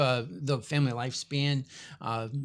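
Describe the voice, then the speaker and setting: In a very clean recording with a silent background, a man with an unremarkable speaking voice and a fairly high pitch talks at a fairly slow pace with ordinary pitch variation. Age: 60s. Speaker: family studies professor. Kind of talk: interview.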